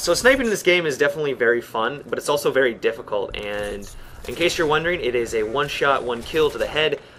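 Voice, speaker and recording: A man rushes along at a very fast pace with noticeable background noise behind him. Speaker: gaming commentator. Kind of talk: gameplay commentary. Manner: casual with many fillers.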